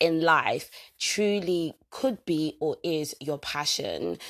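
Energetic and animated, a woman talks in a very deep, low pitch. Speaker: personal growth podcaster. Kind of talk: motivational solo talk. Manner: energetic, animated.

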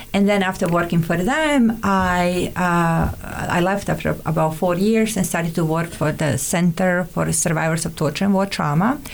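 The speaker keeps a moderate pace with hardly any pauses, very even loudness and ordinary pitch variation, while noticeable background noise runs underneath. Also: woman, fairly low pitch for a woman. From Montenegro. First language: Montenegrin. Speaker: immigrant guest, therapist. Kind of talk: casual interview chat. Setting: studio.

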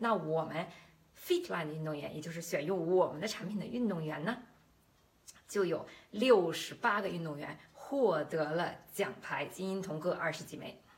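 A woman with a fairly low pitch and ordinary pitch variation at a moderate pace, big swings in loudness, audible room echo and noticeable background noise. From Beijing, China. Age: 40s. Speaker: podcast host and health-nutrition entrepreneur. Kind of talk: promotional monologue. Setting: livestream.

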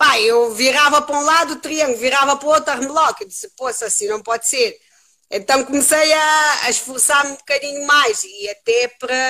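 A woman's raised, projected voice, high in pitch with a bright, sharp tone, fairly quick, with ordinary pitch variation, on a very clean recording with a silent background. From Cape Verde. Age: 30s. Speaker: jiu-jitsu and beach wrestling athlete. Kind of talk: casual interview.

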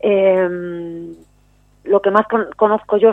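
Monotone and flat, a woman talks at a medium pitch. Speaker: poet. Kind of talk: poetry reading, spoken word; interview. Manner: solemn, measured, declamatory delivery.

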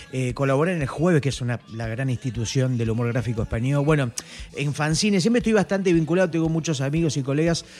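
The delivery comes at a very fast pace. Its intonation is lively. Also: man, fairly high pitch for a man. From Argentina, Mar del Plata. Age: 40s. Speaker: cartoonist. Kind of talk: casual chat. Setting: home studio.

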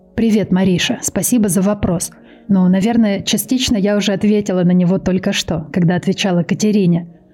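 At a fairly quick pace, a woman speaks with a medium pitch and a dark, mellow, somewhat breathy tone. Her loudness is very even and her intonation fairly even. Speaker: true crime podcaster. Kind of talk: casual chat. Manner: improvised.

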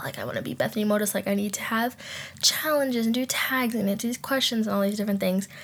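A woman's somewhat breathy, medium-pitched voice shows ordinary pitch variation in a very clean recording with a silent background. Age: 20s. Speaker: podcast host. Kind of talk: casual chat. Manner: animated.

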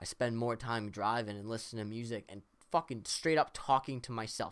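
A man with a normal speaking voice at a medium pitch and moderate pace, his intonation fairly even. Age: 20s. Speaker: podcast guest. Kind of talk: casual chat.

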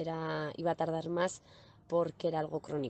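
A woman talks with monotone, flat intonation. Her pitch is fairly low. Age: 30s. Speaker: client. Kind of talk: testimony. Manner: hesitant with repetitions.

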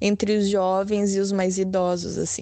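A dark, mellow tone in a woman's medium-pitched voice. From Brazil, Porto Alegre. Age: 30s. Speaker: lawyer, former model. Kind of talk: interview.

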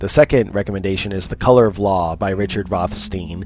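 Over noticeable background noise, a man with an American accent talks at a very deep, low pitch and fairly quick pace, with ordinary pitch variation. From United States. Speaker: podcast host. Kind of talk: solo monologue podcast.

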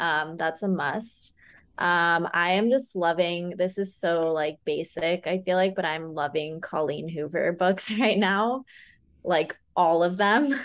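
Against a quiet background, a woman with an American accent speaks at a fairly low pitch and a very slow pace, with ordinary pitch variation. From California. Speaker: wellness coach and podcast host. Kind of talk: casual interview chat. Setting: remote recording.

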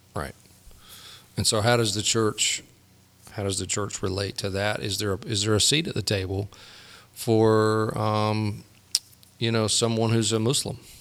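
Speech at a moderate pace with fairly even intonation is broken by long, frequent pauses over noticeable background noise. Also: man, fairly low pitch for a man. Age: 50s. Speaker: pastor. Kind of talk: casual chat.

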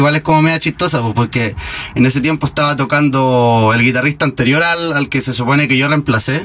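Over noticeable background noise, a man with a medium-pitched voice talks at a fairly quick pace, with very even loudness and fairly even intonation. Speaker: guitarist in a tribute band. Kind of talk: casual interview.

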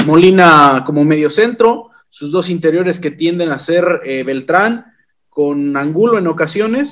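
A man with a high voice speaks fairly slowly, his pitch varying in an ordinary way. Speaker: podcast host. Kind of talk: casual podcast chat. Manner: halting, repeats words.

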